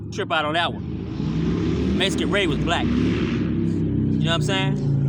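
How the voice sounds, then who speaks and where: A man with an American accent speaks at a very slow pace and very even loudness, with noticeable background noise behind him. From California, Louisiana Creole family. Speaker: vlogger. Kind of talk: casual motivational monologue. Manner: laid-back, conversational.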